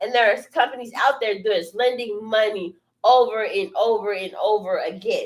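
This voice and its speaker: A woman speaks in a plain, everyday voice at a moderate pace. Her pitch variation is ordinary. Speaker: business coach. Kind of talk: live stream talk. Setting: studio.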